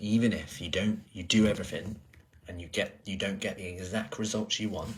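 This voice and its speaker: A soft-spoken man with a fairly low pitch and a somewhat breathy voice talks at a moderate pace with fairly even intonation. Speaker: personal trainer. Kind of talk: casual vlog chat.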